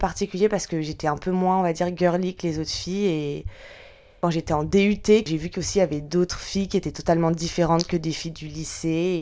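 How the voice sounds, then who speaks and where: At a fairly quick pace, a woman with a fairly low pitch speaks with fairly even intonation. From France, Lyon area. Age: 20s. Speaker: podcast guest. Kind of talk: personal testimony interview. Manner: hesitant, many fillers.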